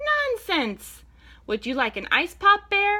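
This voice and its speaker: Putting on a squeaky character voice, a woman speaks at a fairly slow pace at an extremely high pitch. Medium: read story. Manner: eager, bossy.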